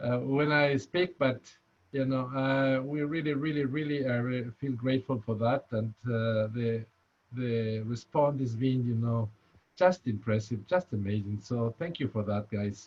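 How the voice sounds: A man with a strong Spanish accent speaks fairly slowly at a medium pitch, with ordinary pitch variation and a slightly mellow tone.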